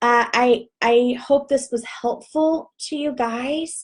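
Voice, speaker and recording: A woman with a Texas accent speaks in a high voice with fairly even intonation. The background is quiet. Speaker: direct sales team leader. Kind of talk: live video Q&A tutorial. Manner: casual, chatty. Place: home room. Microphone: webcam.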